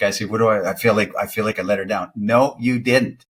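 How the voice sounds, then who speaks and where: A man speaks at a fairly quick pace. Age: 60s. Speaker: dating coach. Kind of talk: casual chat. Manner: halting.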